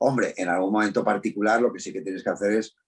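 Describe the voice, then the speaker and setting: This man has a normal speaking voice with fairly even intonation. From Spain, Madrid. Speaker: voice actor and dubbing director. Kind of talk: interview. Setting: video call.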